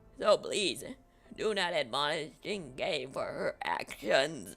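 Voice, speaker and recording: The speaker uses a put-on character voice. Delivery is on the fairly slow side. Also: woman. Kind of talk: grandiose speechifying. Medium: game stream. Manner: solemn, lofty, sermonizing.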